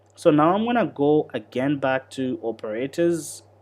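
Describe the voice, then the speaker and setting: A normal speaking voice with lively intonation moves at a fairly slow pace on a very clean recording with a silent background. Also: man. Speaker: coding instructor. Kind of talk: live-streamed tutorial. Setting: livestream.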